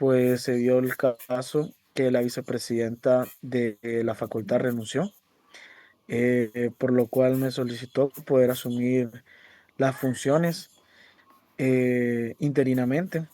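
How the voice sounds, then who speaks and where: The tone is dark and mellow. The speech moves at a very slow pace. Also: man, medium pitch for a man, fairly even intonation, dry, close sound with no echo. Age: 20s. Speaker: university student and researcher. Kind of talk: research interview.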